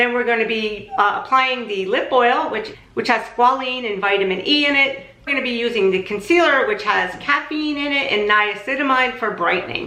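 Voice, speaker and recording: A woman's high-pitched voice comes through with noticeable noise in the background. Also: lively intonation, moderate pace. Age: 60s. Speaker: makeup artist and beauty vlogger. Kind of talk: product review tutorial. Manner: casual, conversational.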